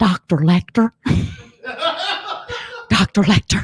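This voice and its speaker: A put-on character voice at a middle pitch and fairly slow pace. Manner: frantic.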